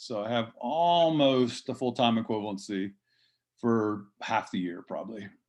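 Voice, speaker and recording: A man with a normal speaking voice, ordinary pitch variation and a moderate pace against a quiet background. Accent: American. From US Northeast (southeastern Pennsylvania). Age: 60s. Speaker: fruit nursery grower. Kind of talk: conference talk, interview conversation.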